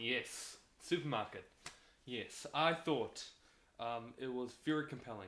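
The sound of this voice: Ordinary pitch variation shapes an unforced reading voice here.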